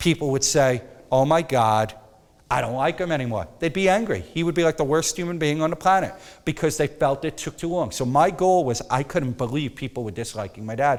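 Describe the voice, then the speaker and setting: Lively intonation at a fairly quick pace. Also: man, fairly high pitch for a man. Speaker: photography instructor. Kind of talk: workshop lecture. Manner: loud.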